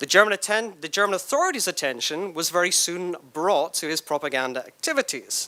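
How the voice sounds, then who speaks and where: Hardly any pauses break the fairly quick pace of this speech. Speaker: historian giving a keynote talk. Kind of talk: lecture. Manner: fast.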